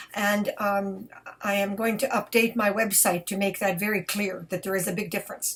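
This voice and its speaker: A woman at medium pitch, monotone and flat, at a moderate pace amid noticeable background noise. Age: 70s. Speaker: belly dancer. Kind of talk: casual talk to camera.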